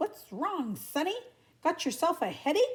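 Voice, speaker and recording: A woman does a put-on character voice, squeaky and extremely high in pitch. Her pitch swings very widely at a moderate pace. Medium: read story. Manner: folksy, blunt.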